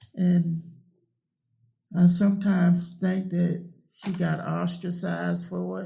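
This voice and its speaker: Over audible room echo, a high-pitched man with a Virginia accent and a dark, mellow tone speaks at a very slow pace in a monotone, flat intonation, with long, frequent pauses and big swings in loudness. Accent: US South, Virginia. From Virginia, Middlesex County. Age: 60s. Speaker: oral history interviewee. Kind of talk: oral history interview.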